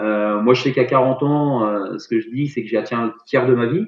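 This man speaks at a fairly slow pace. His pitch sits in the medium range. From Paris region and Rennes area, Brittany. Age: 40s. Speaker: sports teacher and CrossFit athlete. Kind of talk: casual interview. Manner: halting, many fillers.

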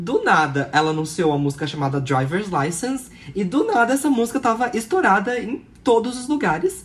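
Using very wide pitch swings around a medium pitch, a woman speaks at a fairly quick pace with vocal fry. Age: 20s. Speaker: podcast co-host. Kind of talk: casual chat.

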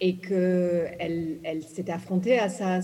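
In an English accent, a woman speaks with a dark, mellow, somewhat breathy tone, a fairly low pitch and fairly even intonation, with audible room echo. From Ghana, English-speaking; moved to France at 11. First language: English (speaking French). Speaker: novelist. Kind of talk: literary panel talk. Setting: stage with audience.

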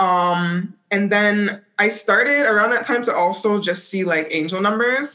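A woman with an ordinary speaking voice talks at a fairly slow pace and medium pitch, with ordinary pitch variation. Her loudness is very even, and there are hardly any pauses. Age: 20s. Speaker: holistic wealth coach. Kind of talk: casual chat.

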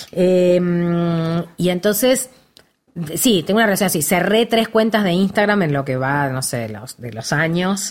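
Her pitch fairly low for a woman, she speaks at a fairly slow pace with lively intonation. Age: 50s. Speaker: actress. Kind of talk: casual chat.

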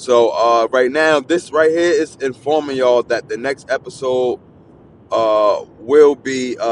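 A man talks at a fairly slow pace. His pitch is medium. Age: 30s. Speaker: podcast host. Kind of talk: casual solo monologue.

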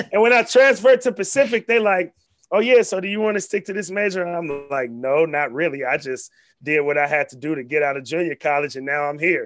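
Over background music, a high-pitched man with an American accent talks very fast, with very wide pitch swings and big swings in loudness. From Vallejo, California (Bay Area). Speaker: sports broadcaster and activist. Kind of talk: casual interview.

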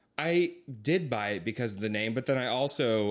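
In a very clean recording with a silent background, a man with an American accent speaks with lively intonation. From California, Lodi area. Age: 20s. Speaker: podcast guest, travels for work. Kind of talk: casual chat.

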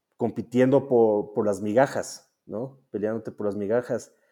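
A man's medium-pitched voice with a dark, mellow tone and fairly even intonation. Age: 40s. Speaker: venture capitalist. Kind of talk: interview. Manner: halting, many fillers.

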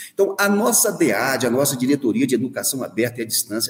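The speaker has a Minas Gerais accent. The intonation is lively. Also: man. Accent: Brazilian Portuguese, Minas Gerais (mineiro). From Minas Gerais, near Diamantina (rural Rio Vermelho). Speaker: university rector, dentist and professor. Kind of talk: radio interview. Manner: hesitant, many fillers.

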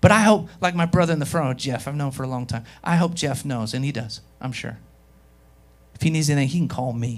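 Audible room echo surrounds a man talking at a fairly quick pace in a fairly high pitch. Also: ordinary pitch variation. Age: 30s. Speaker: pastor. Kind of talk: Sunday sermon in a church service; revivalist altar call, preacher in full flow. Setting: church with live congregation. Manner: warm, urging, conversational.

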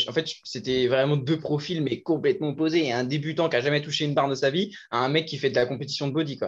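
A man has an ordinary speaking voice, fairly high in pitch with ordinary pitch variation. He talks at a fairly quick pace against a quiet background. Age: 20s. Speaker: fitness coach. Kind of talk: casual chat.

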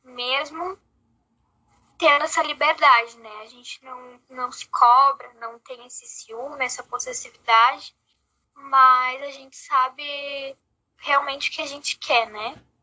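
With a bright, sharp tone, a woman projects a raised, high-pitched voice that shows ordinary pitch variation and big swings in loudness. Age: 20s. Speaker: podcast co-host. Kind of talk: casual chat.

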